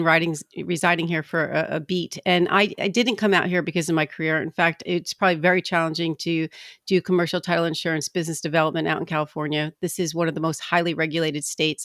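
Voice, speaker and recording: A woman with a New Jersey accent and a fairly low pitch speaks at a very fast pace with fairly even intonation, in a dry, close sound with no echo on a very clean recording with a silent background. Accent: East Coast, New Jersey. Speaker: commercial title insurance rep, former attorney. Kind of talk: podcast interview.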